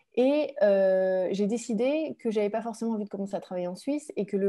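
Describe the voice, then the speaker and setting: The voice has a dark, mellow tone and ordinary pitch variation. It moves at a fairly quick pace against a quiet background. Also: woman. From France. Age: 30s. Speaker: author and former commodities trader. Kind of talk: webinar talk. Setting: online webinar. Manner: hesitant, many fillers.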